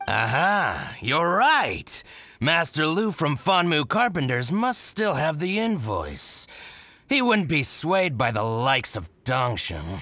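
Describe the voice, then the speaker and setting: In a very clean recording with a silent background, a man uses a put-on character voice. It is fairly high-pitched and comes at a fairly slow pace. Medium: video game. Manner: smug, eager.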